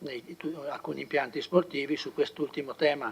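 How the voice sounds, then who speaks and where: A man with a fairly high pitch speaks while noticeable noise sounds in the background. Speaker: city councillor presenting budget. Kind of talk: council meeting presentation. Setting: council chamber. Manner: halting, many fillers.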